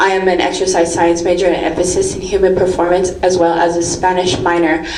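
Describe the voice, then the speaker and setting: A woman with an American accent at medium pitch and moderate pace, audible room echo and noticeable background noise. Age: 20s. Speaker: public commenter, BMX coach and college student. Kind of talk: public comment at a meeting.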